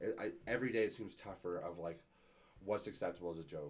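A man's plain, everyday voice with a Canadian accent, ordinary pitch variation and a fairly quick pace. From Calgary, Canada. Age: 20s. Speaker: vintage thrift store owner and DJ. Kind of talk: casual chat.

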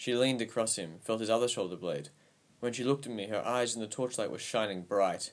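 The recording carries a natural reading voice.

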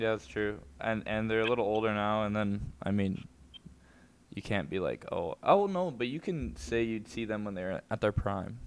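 A normal speaking voice, moderately paced, its pitch varying in an ordinary way. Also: man, fairly low pitch for a man. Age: young. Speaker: podcast co-host. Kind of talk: casual chat.

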